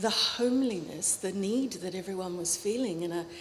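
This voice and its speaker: Through noticeable background noise, a woman with an Australian accent speaks with ordinary pitch variation. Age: 60s. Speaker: academic. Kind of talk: panel discussion. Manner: halting.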